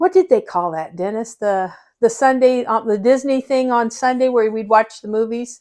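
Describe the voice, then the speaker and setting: At a moderate pace, a woman with a Midwestern American accent talks in a fairly high pitch with ordinary pitch variation. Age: 60s. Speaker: interviewee, family member. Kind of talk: casual family interview, reminiscing. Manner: halting, with fillers.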